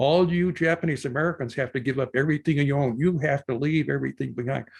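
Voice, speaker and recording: Against a quiet background, a man with a fairly high pitch sounds somewhat breathy and uses ordinary pitch variation. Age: 80s+. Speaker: army veteran and lecturer. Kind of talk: lecture. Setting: video call.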